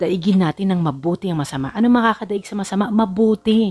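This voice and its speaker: Someone speaks at a fairly quick pace over music in the background. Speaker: Bible teacher. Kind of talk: Bible study talk.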